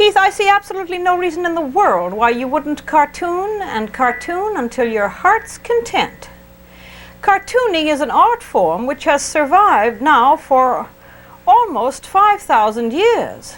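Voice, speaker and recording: Against noticeable background noise, a woman with an extremely high pitch talks at a fairly slow pace, making very wide pitch swings. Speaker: painting instructor, TV show host. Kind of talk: painting tutorial with call-in. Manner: soft-spoken; hesitant, many fillers.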